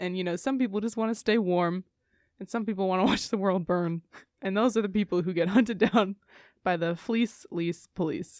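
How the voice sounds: A woman talks at a moderate pace with ordinary pitch variation and a slightly mellow tone. The recording is very clean, with a silent background. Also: medium pitch for a woman.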